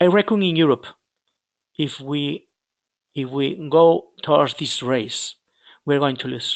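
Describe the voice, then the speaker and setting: A man with a Galician accent and a fairly high pitch, ordinary pitch variation, a fairly slow pace and a dry, close sound with no echo. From Spain, Galicia. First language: Spanish or Galician. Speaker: dairy researcher. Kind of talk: webinar presentation. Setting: online webinar. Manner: halting, many repetitions.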